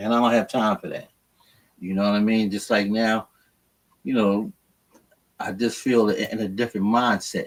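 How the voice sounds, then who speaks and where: Speaking at a moderate pace and medium pitch, a man uses monotone, flat intonation and long, frequent pauses. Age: 60s. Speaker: co-host. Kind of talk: casual chat.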